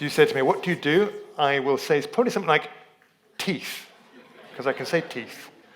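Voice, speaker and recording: A man with lively intonation at a fairly quick pace amid noticeable background noise. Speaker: lay preacher and dentist. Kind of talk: sermon. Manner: halting.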